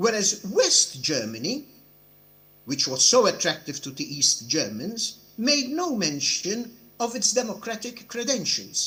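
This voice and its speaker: A man speaks fairly slowly in a raised, projected voice with a high pitch and very wide pitch swings. The tone is bright and sharp. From Europe. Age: 70s. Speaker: judge. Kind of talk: conference speech. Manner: formal.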